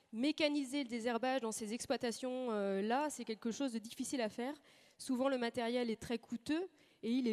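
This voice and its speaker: A woman speaks in a high voice with fairly even intonation. The sound is dry and close, with no echo. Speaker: agricultural research station manager. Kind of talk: conference talk. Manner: fast; hesitant, frequent fillers.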